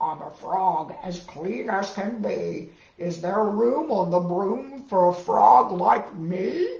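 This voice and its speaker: This put-on character voice is croaky and middle-pitched, delivered at a very slow pace with hardly any pauses. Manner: polite, hopeful.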